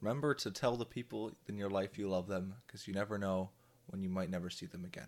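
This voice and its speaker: Speaking at a very fast pace, a man with an Ontario accent keeps a fairly low pitch and ordinary pitch variation on a very clean recording with a silent background. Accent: Canadian (Ontario). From Ontario, Canada (Drayton, near Kitchener-Waterloo). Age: 20s. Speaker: podcast co-host. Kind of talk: casual chat.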